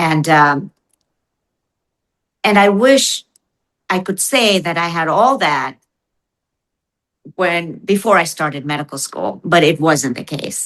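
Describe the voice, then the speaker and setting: A woman speaks very slowly at a fairly low pitch, leaving long, frequent pauses. Her intonation is lively. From India. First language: Indian language (not English). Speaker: physician and author. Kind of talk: interview. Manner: halting, with many fillers.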